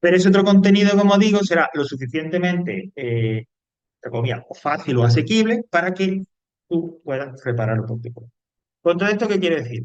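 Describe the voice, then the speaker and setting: Speaking fairly quickly in an Andalusian accent, a man uses a high-pitched voice with very wide pitch swings. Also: big swings in loudness. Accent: Cordoban Andalusian Spanish. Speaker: teacher. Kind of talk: lecture.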